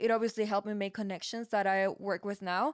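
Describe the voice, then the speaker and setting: A woman speaks at a fairly quick pace with a Peruvian accent. Her intonation is fairly even. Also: dry, close sound with no echo. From Peru, Lima. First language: Spanish. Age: 20s. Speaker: podcast co-host, music engineer. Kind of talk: casual chat.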